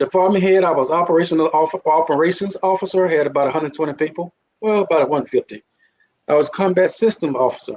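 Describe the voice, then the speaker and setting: This man talks very fast in a high voice with a Mississippi accent. His loudness stays very even and his pitch varies in an ordinary way. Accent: Mississippi accent, came back after Navy. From Mississippi, US South. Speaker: Navy veteran and leadership author. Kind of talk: interview conversation.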